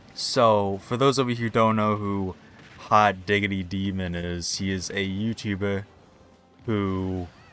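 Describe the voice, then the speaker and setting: Music plays in the background as a man speaks at a fairly slow pace. His pitch is fairly low and his intonation fairly even. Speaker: YouTube commentator. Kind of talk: casual commentary monologue. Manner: hesitant, many filler words.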